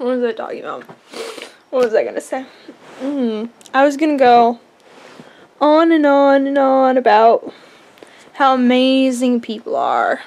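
A woman's high-pitched voice with ordinary pitch variation and long, frequent pauses. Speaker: vlogger. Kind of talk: casual vlog chat. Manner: drunk, slow and wandering. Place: home room. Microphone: phone near.

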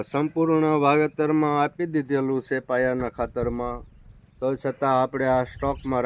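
In a dry, close sound with no echo, a man speaks in an ordinary speaking voice with fairly even intonation. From Saurashtra, Gujarat (Surendranagar district). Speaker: farmer. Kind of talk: farm tour video.

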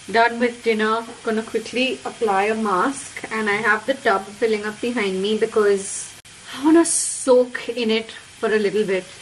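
A woman speaks at a moderate pace with fairly even intonation. Light background noise can be heard. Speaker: vlogger. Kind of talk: casual vlog chat. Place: bathroom. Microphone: phone near.

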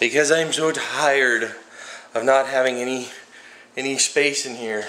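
A man talks at a fairly slow pace, with audible room echo around his voice. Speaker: home vlogger. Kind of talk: casual vlog chat. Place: garage. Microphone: phone near.

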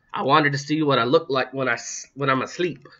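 A man puts on a squeaky character voice at a fairly high pitch, keeping fairly even intonation and a moderate pace. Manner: cheeky, joking.

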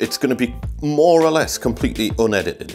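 A man's voice comes through with faint music in the background. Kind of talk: tutorial. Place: home room.

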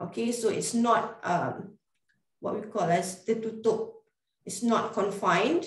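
A woman with a Malaysian accent at a fairly slow pace, ordinary pitch variation, a quiet background and audible room echo. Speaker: radiographer. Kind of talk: webinar presentation. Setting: video call. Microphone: webcam.

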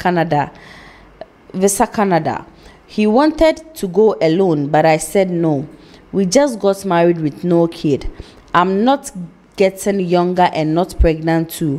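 A woman speaks fairly slowly, her intonation lively. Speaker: TV show host. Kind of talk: reading a viewer letter aloud. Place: studio. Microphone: studio mic.

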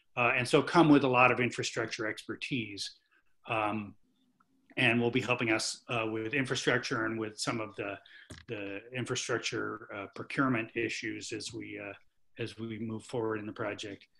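The tone is bright and sharp with vocal fry, at a moderate pace and fairly even intonation. Loudness swings widely over a quiet background. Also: man. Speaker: climate planning consultant. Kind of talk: virtual committee meeting presentation. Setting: video call. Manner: halting, many fillers. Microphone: video call.

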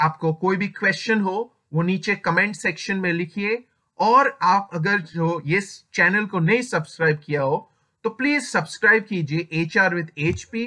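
Against a quiet background, a man with a non-native accent speaks at a fairly slow pace in a raised, projected voice, high in pitch, with a bright, sharp tone and ordinary pitch variation. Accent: speaks weak Hindi, non-native. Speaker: HR advice youtuber. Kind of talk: tutorial. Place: home room. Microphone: webcam.

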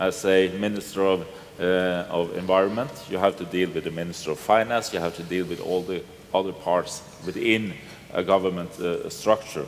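A man with a Norwegian accent talks at a fairly quick pace in a very deep, low voice. His intonation is fairly even, over light background noise. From Norway. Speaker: politician; panelist. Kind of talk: panel discussion. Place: hall. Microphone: headset.

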